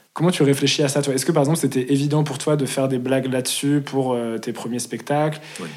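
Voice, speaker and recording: Over noticeable background noise, a man at medium pitch talks at a fairly quick pace with fairly even intonation. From Lyon, France. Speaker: podcast host. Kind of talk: casual chat. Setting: at guest's home.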